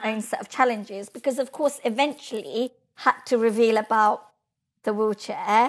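Here a woman talks at a moderate pace with ordinary pitch variation. Her voice sits fairly high. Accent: English. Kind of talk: interview.

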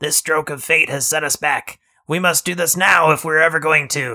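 A man's put-on character voice, fairly high in pitch at a moderate pace, in a very clean recording with a silent background

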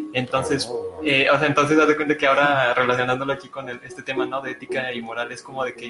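A man's fairly high-pitched voice with a Mexican accent and fairly even intonation, music playing in the background. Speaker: podcast co-host. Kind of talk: casual discussion. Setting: live stream in a room.

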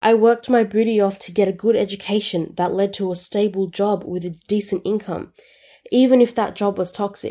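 This woman's voice has a dark, mellow tone and a medium pitch. She moves at a fairly quick pace with fairly even intonation. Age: 20s. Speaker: personal finance podcast host. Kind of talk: solo podcast monologue on personal finance.

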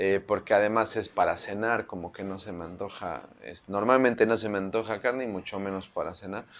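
A man with a Mexico City accent, fairly low in pitch, at a fairly quick pace, with big swings in loudness. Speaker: chef. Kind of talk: interview. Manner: halting; animated.

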